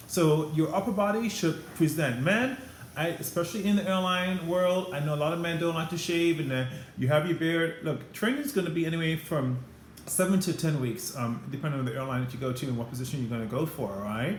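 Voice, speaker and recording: A man with a Caribbean accent talks at a fairly quick pace in a fairly high pitch, his intonation lively and some room echo audible. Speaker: former flight attendant, career advice vlogger. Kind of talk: advice vlog to camera. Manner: fast; animated.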